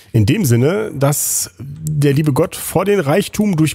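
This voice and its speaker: A man speaks at a fairly high pitch with lively intonation. His voice is somewhat breathy. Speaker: gaming YouTuber. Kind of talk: let's play commentary. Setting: home recording at computer.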